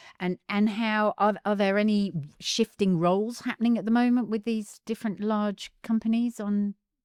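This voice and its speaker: In a very clean recording with a silent background and a dry, close sound with no echo, a fairly high-pitched woman with an Australian accent speaks at a moderate pace in a monotone, flat intonation. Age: 60s. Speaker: podcast co-host. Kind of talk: casual chat.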